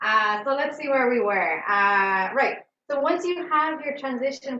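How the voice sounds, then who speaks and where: A woman speaks in a plain, everyday voice at a fairly slow pace. Her intonation is lively. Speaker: math professor. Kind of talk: lecture.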